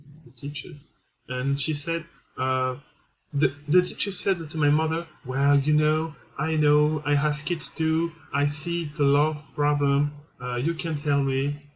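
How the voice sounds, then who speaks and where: A man speaks slowly-ish with a French accent, his pitch fairly high. His delivery is somewhat breathy and flat in a monotone, at a fairly slow pace. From France. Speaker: vlogger. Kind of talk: personal testimony. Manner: halting, many hesitations.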